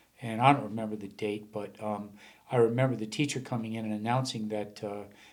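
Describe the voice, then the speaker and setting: Audible room echo follows a man who speaks at a fairly quick pace with a fairly low pitch and a monotone, flat intonation. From Rhode Island, Warren. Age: 60s. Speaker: former sales executive and landscaping business owner. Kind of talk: interview conversation. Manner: halting, many fillers.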